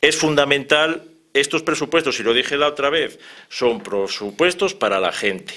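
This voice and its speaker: This man's voice is fairly high in pitch, with a bright, sharp tone. He speaks at a moderate pace with lively intonation. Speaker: physician and political commentator. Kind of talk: heated debate.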